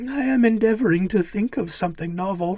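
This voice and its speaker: A put-on character voice with fairly high pitch moves at a fairly quick pace. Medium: read story.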